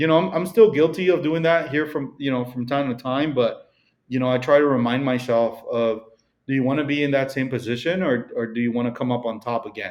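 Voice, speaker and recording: Here a man talks in a Mexican accent. His pitch is medium and his pace fairly quick. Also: ordinary pitch variation. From Mexico. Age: 30s. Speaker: real estate broker. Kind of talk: podcast interview. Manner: casual, many fillers.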